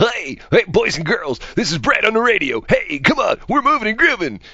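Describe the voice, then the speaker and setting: Using a put-on character voice, someone talks at a moderate pace. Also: man, extremely high pitch for a man. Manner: cheesy, hyped up.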